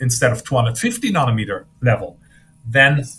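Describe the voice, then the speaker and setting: This man speaks with a German accent in a bright, sharp tone. His pitch swings very widely, and his pace is moderate. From Germany. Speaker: physicist. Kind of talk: interview.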